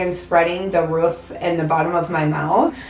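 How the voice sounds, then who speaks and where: A rather low-pitched woman's voice, with audible room echo and clear background noise. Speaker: vlogger. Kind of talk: story time vlog. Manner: hesitant with many ums.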